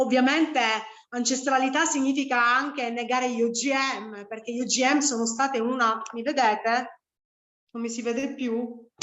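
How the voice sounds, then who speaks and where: Against audible room echo, a woman speaks at a high pitch with monotone, flat intonation. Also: moderate pace. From Sicily. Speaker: spiritual teacher. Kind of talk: online lecture. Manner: halting, many fillers.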